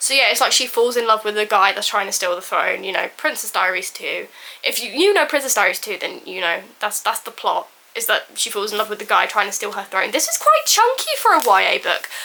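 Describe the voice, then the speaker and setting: Noticeable background noise under fairly quick talking. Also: woman. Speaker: booktuber. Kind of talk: casual vlog book haul. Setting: home filming room. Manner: fast; animated.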